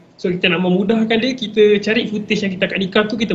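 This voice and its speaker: Over noticeable background noise, a man talks very fast at a high pitch with fairly even intonation. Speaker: videographer and editor. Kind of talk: casual tutorial talk. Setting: live stream on social media.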